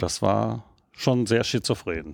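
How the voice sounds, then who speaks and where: Using lively intonation, a man speaks at a very slow pace and a fairly low pitch, with a dry, close sound with no echo. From Rhineland, Germany (Erkrath). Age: 50s. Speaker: novelist. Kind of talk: interview. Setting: bookshop.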